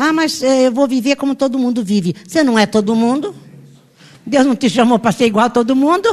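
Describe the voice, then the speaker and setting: The woman's voice is high. Its pitch moves in an ordinary way. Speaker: pastor. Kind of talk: sermon.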